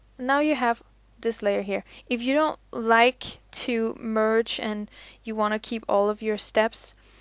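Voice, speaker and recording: A woman speaks very slowly in a fairly high voice with fairly even intonation. The recording is very clean and dry, close with no echo, and the background is silent. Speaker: digital illustrator. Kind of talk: tutorial. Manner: mumbling at times; casual, relaxed.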